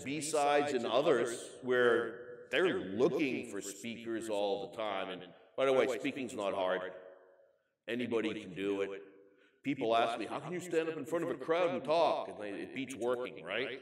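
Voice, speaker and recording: A man with a medium pitch and lively intonation speaks at a moderate pace, his loudness swinging widely amid audible room echo. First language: not English. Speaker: keynote speaker on information security. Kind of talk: conference keynote. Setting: stage with audience. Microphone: echo in recording.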